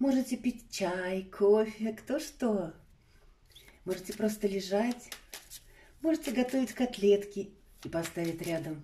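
A woman's somewhat breathy voice, dark and mellow in tone, with lively intonation, a very slow pace and long, frequent pauses. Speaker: tarot reader. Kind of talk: online tarot reading. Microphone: phone near.

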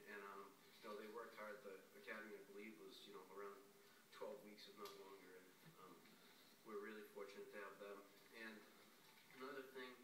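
The delivery is monotone and flat, with audible room echo and noticeable background noise. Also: man. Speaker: council member. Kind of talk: meeting remarks. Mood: warm, appreciative. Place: meeting room. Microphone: podium.

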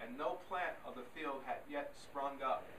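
Noticeable background noise runs under this recording. A man speaks at a fairly slow pace with fairly even intonation. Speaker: scripture reader. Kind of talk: reading aloud. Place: church.

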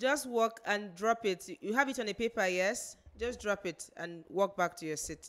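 A plain, everyday voice speaks at a medium tempo with normal rise and fall in pitch, recorded very cleanly against a silent background. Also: woman, medium pitch for a woman. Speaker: pageant show coordinator giving instructions. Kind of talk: instructions to contestants. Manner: formal.

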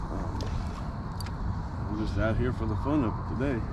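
A man at a moderate pace, dry sound with no echo, loud background noise. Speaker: kayak angler vlogger. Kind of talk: casual vlog chat. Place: boat. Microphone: camera far.

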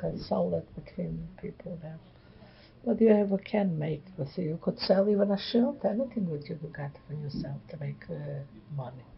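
A woman with a Polish accent speaks at a moderate pace in a very deep, low pitch. Her loudness swings widely. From Poland. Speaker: Holocaust-era survivor. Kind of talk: interview answer.

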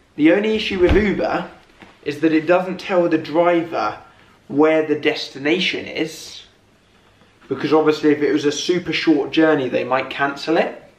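A man speaks at a moderate pace with ordinary pitch variation, and audible room echo is heard around him. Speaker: vlogger. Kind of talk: casual vlog chat. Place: home room. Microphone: camera far.

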